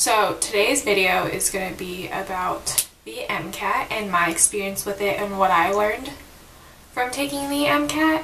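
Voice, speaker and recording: Lively intonation at a moderate pace comes through audible room echo and noticeable background noise. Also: woman, medium pitch for a woman. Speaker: student vlogger. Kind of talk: casual vlog. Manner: louder than usual; casual, filler-heavy.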